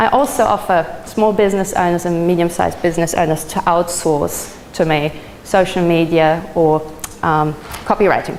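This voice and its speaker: A woman's fairly low voice at a moderate pace, with ordinary pitch variation, very even loudness, and noticeable background noise. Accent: German. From Germany. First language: German. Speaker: social media trainer. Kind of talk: presentation.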